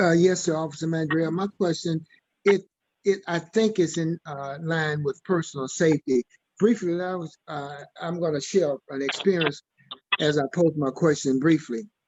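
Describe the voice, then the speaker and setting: A man speaks with a Southern US accent at a fairly high pitch. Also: ordinary pitch variation, moderate pace. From Mississippi, US South. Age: 70s. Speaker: church member asking questions. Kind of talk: community Q&A discussion. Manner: halting.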